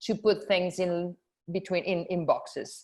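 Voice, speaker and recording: A Spanish accent colors this woman's speech. She talks at a fairly slow pace. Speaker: film festival programmer. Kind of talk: panel discussion. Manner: halting.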